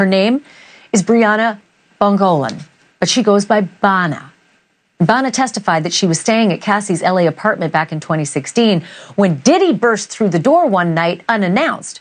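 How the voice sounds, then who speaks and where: Speaking with lively intonation at a moderate pace, this woman has a medium pitch and a plain, everyday voice. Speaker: TV news anchor. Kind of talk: TV news presentation.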